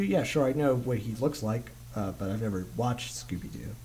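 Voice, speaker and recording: A man with an American accent speaks at a fairly quick pace with ordinary pitch variation. Vocal fry runs through his voice. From Texas. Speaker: podcast host. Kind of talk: casual chat. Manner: halting.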